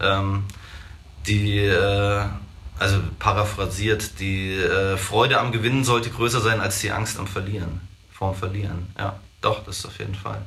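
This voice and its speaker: A man speaks at a fairly slow pace and fairly low pitch with fairly even intonation. Audible room echo and noticeable background noise surround him. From Hesse, Germany (Marburg area). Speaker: shoe shop owner. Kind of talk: casual chat. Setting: in his shop.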